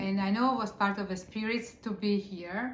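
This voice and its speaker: A woman speaks with an Italian accent at a fairly slow pace, her pitch medium and her intonation fairly even. Audible room echo surrounds her voice. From Italy. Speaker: author and spiritual teacher. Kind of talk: casual interview conversation. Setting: on a couch.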